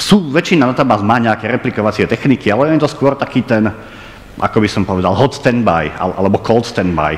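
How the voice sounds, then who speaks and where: Light background noise sits behind a man who talks at a fairly quick pace with ordinary pitch variation. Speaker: lecturer. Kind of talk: lecture. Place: hall.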